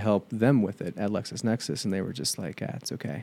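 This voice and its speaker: A man with an American accent speaks at a moderate pace in a dark, mellow tone and fairly low pitch. The recording is very clean, with a silent background. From US Midwest (Southwest Ohio). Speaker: marketing agency founder. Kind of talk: interview.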